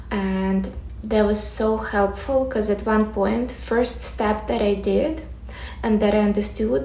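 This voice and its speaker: A woman with a Ukrainian accent speaks at a moderate pace, with audible room echo and noticeable background noise. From Ukraine. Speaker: manifestation coach, content creator. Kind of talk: personal story and advice monologue to camera.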